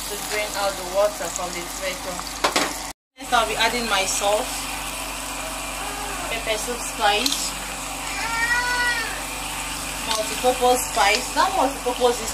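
The pace is moderate. Loud background noise sits under the speech. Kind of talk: cooking tutorial. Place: kitchen.

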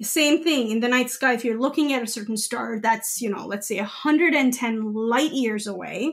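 A woman's high-pitched voice at a fairly slow pace, with hardly any pauses and ordinary pitch variation. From India, Gujarat (Ahmedabad). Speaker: astrophysicist. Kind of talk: interview.

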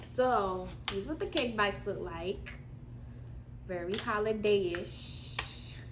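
A woman speaks at a very slow pace. Noticeable background noise runs behind her. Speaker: snack reviewer. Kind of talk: casual vlog chat. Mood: relaxed, cheerful. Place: home room. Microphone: camera far.

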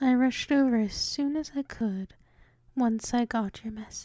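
A woman's high voice with a dark, mellow tone, fairly even intonation and a fairly slow pace, dry and close with no echo. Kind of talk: ASMR role play. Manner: whispered.

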